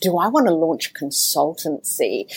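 Australian accent from a woman, captured on a very clean recording against a silent background. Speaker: mentor, speaker and author. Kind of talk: interview conversation.

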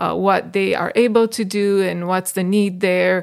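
Here a woman is speaking. She keeps a fairly slow pace. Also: very clean recording, silent background. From Bucharest, Romania. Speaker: missionary. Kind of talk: casual chat. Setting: studio.

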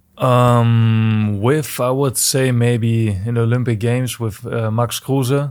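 A man with a German accent talks at a very slow pace. His pitch is medium, and his intonation is monotone and flat. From Germany. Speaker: professional soccer player. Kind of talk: interview. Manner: halting.

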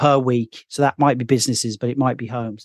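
A man with a West Midlands accent, in a dry, close sound with no echo. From Birmingham, England. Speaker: software founder. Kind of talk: casual interview.

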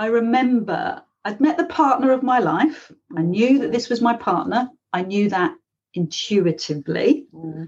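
In a London accent, a woman speaks at a fairly high pitch and a fairly slow pace. Her voice moves through very wide pitch swings. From London, England. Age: 50s. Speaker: life coach and author. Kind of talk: interview.

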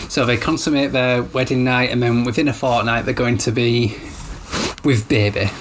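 With noticeable background noise behind him, a man speaks in a Yorkshire accent with fairly even intonation. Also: medium pitch for a man, moderate pace, very even loudness. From Yorkshire, northern England. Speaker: podcast host, new father. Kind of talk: casual chat. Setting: home, baby napping in the room.

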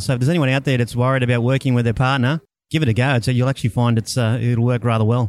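A man speaks very fast with an Australian accent at a medium pitch. His intonation stays fairly even, and the recording is very clean with a silent background. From Australia, Brisbane. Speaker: financial planner. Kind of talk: casual interview. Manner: halting.

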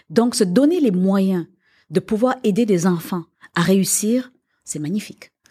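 On a very clean recording with a silent background, a woman speaks in a dark, mellow, somewhat breathy tone with lively intonation. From Quebec. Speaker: business owner. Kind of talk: interview.

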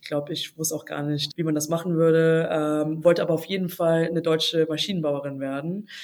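A woman's very deep, low voice at a fairly quick pace, monotone and flat, with hardly any pauses and big swings in loudness. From China and Germany. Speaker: startup founder and CEO. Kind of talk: podcast interview.

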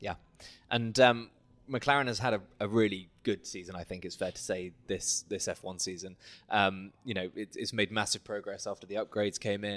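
In a very clean recording with a silent background, a man with a fairly low pitch talks at a moderate pace with fairly even intonation. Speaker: podcast host. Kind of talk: interview. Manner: halting, repeats words.

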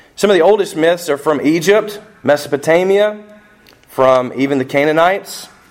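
Amid noticeable background noise, a man talks at a moderate pace with a fairly high pitch, ordinary pitch variation, and very even loudness. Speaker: pastor. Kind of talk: sermon. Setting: church. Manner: normally loud, yells when preaching.

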